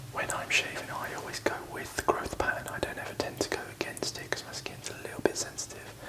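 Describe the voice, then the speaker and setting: Whispering at a very fast pace with hardly any pauses, a man's loudness swings widely over noticeable background noise. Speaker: barber. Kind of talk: ASMR shaving tutorial. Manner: whispered.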